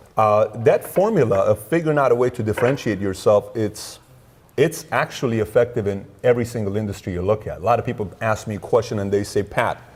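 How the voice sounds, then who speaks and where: A man talks at a very fast pace in a medium pitch, somewhat breathy, with ordinary pitch variation. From Iran. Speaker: entrepreneur, insurance company founder. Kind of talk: interview.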